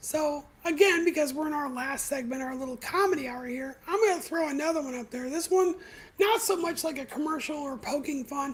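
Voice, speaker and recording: Fairly quick in pace, a woman speaks at a high pitch with ordinary pitch variation and big swings in loudness. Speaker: video podcast host. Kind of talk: casual livestream commentary.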